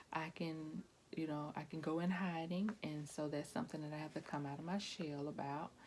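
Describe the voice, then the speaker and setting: Soft-spoken and at a moderate pace, a woman talks in a very deep, low pitch with fairly even intonation. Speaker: pastor's wife vlogger. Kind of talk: casual vlog monologue. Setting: at home. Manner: hesitant, many fillers.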